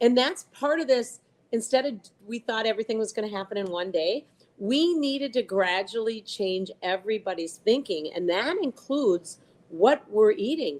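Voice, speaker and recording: With lively intonation and a fairly high pitch, a woman talks at a moderate pace in a plain, everyday voice. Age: 60s. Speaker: powerlifter. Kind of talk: interview.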